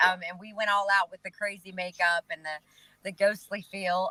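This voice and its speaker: A woman with a Southern US accent speaks at a fairly quick pace in a bright, sharp tone, with medium pitch and fairly even intonation, and the sound is dry and close with no echo. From North Carolina. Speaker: singer-songwriter. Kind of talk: interview answer. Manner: casual, chatty.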